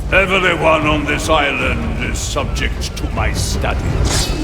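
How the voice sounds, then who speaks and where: Over loud background noise, a man performs a put-on character voice. His pace is fairly slow. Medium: machinima. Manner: condescending, aloof.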